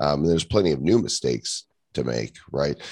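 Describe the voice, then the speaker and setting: A man with an American accent. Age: 50s. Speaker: entrepreneur and author. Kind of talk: casual interview chat.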